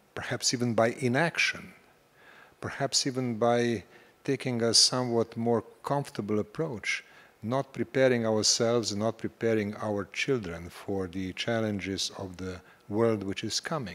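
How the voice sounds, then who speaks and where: An unremarkable speaking voice belongs to a man talking at a moderate pace, with medium pitch and ordinary pitch variation. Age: 60s. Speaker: panel speaker. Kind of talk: panel discussion.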